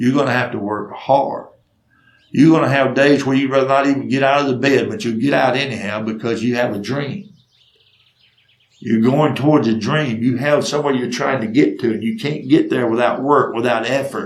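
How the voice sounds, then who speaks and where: Audible room echo surrounds a man with a Southern US accent. His pitch varies in an ordinary way. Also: medium pitch for a man, moderate pace. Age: 60s. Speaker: storyteller. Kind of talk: storytelling monologue.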